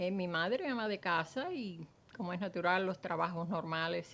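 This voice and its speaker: A woman with a Cuban accent at a moderate pace. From Cuba, Matanzas. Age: 80s+. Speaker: former teacher, Cuban exile. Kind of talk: testimony. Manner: hesitant, with frequent fillers.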